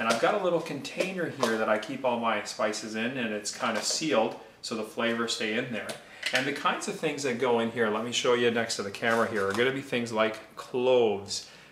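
A man with a medium-pitched voice speaks at a fairly quick pace with ordinary pitch variation over noticeable background noise. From India. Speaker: mortgage broker; presenter. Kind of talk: cooking tutorial. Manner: casual, conversational. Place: kitchen. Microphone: phone near.

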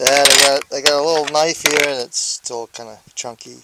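Loud background noise behind speech at a moderate pace, dry with no echo. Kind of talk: casual show-and-tell commentary. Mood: relaxed, joking. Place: open country. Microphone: phone near.

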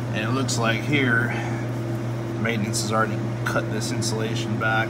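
Loud background noise behind a male speaker. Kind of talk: tutorial. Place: workshop. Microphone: phone near.

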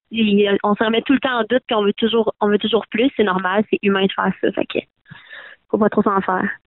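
An energetic, fairly high-pitched woman's voice with a Quebec accent. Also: fairly quick pace. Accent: Québécois French. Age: young. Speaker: folk-country singer. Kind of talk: interview.

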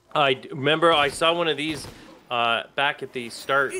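A man at a very slow pace, ordinary pitch variation, noticeable background noise behind him. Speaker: gaming YouTuber. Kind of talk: gaming let's play commentary. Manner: excitable.

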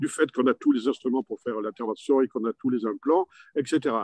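A man speaks with ordinary pitch variation in a dry sound with no echo and a quiet background. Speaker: orthopedic surgeon; panelist. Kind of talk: panel discussion. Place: hall. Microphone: podium.

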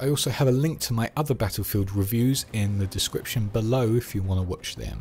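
Speaking at a fairly quick pace with hardly any pauses, a man with a London accent uses a medium pitch and ordinary pitch variation. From London, England. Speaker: gaming YouTuber. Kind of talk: scripted video essay narration.

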